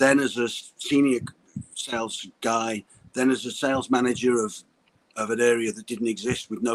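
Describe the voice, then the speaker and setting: A man speaks in a flat, monotone way with a Liverpool accent. His pitch is medium and his pace moderate. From Liverpool, England. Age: 50s. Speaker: sales coach. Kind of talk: interview on live stream. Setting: live video call. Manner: halting, with frequent repetitions and restarts.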